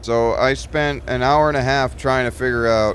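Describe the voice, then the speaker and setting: With lively intonation, a man talks at a medium pitch. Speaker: gaming video creator. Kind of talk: casual gameplay commentary. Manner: loud; hesitant, many fillers. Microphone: new mic, voice picked up too quietly.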